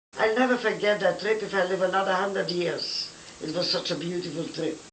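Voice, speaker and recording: A woman speaks at a medium pitch with ordinary pitch variation, over noticeable background noise. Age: 80s+. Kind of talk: personal life stories, reminiscence. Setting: home recording. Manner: charming storyteller.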